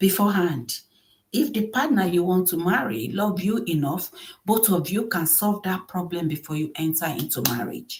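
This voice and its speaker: With very wide pitch swings, a woman speaks in a somewhat breathy voice at a moderate pace. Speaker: relationship and marriage vlogger. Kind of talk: advice monologue.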